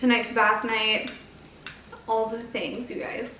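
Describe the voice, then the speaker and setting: Quiet and pitched fairly high, a woman speaks at a moderate pace amid noticeable background noise and audible room echo. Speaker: vlogger. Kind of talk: casual chat.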